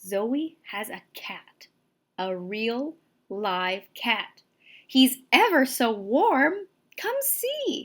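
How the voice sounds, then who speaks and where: A put-on character voice at a very slow pace. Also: woman, high pitch for a woman. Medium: read story. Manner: sweet, wondering.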